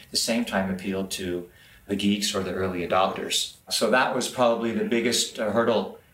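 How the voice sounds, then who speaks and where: Room echo can be heard in this recording. The man keeps a moderate pace. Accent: American. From US, Los Angeles area. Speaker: entrepreneur, business developer. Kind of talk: interview. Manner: halting, repeats words.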